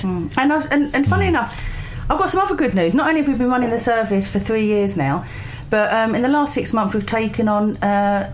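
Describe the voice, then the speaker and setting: Over noticeable background noise, a woman talks at a fairly quick pace with a fairly high pitch, lively intonation, and very even loudness. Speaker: charity recruiter and volunteer coordinator. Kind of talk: radio interview answer. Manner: chatty, upbeat, conversational.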